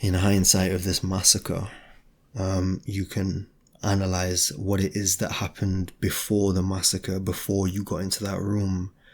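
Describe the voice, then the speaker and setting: Soft-spoken in a British accent, the speaker uses monotone, flat intonation at a fairly slow pace. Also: man, very deep, low pitch for a man. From Britain. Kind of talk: ASMR talking, philosophical reflection. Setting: home, window open, some outside noise. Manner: soft-spoken, quiet.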